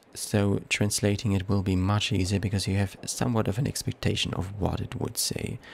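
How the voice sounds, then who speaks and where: A man speaks at a fairly low pitch with a non-native accent. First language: not English. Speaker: let's play gamer. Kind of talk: gameplay commentary. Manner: halting, self-correcting.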